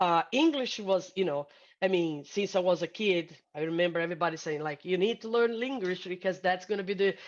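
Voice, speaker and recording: Over a quiet background, a woman speaks at a fairly quick pace and a medium pitch with ordinary pitch variation in a Brazilian Portuguese accent. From Brazil, Sao Paulo. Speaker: hospitality sales executive. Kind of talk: interview conversation. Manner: halting, many fillers.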